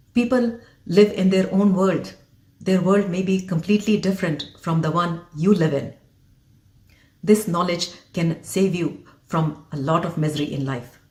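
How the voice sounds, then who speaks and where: With an Indian accent and a somewhat breathy voice, the speaker goes at a moderate pace. Pitch varies in an ordinary way, broken by long, frequent pauses. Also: woman, fairly low pitch for a woman. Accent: Indian, deeply rooted. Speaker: physician and leadership coach. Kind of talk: motivational talk to camera.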